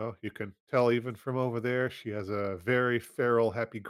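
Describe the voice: Plain reading aloud with fairly even intonation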